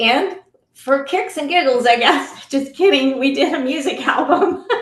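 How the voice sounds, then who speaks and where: Audible room echo around a high-pitched woman at a fairly slow pace with ordinary pitch variation. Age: 60s. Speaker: anti-trafficking advocate and author. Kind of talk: podcast interview.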